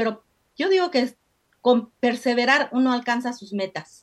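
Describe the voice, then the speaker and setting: The woman's voice is high. She talks at a fairly slow pace. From Mexico. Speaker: candle-making entrepreneur. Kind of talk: interview.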